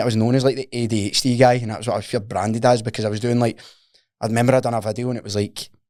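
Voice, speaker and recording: Very fast and monotone, a man talks with a strong Glaswegian accent at a medium pitch. His tone is dark and mellow, the intonation flat. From Scotland, Paisley. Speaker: personal trainer and fitness coach. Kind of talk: casual podcast interview. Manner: casual, slangy and sweary.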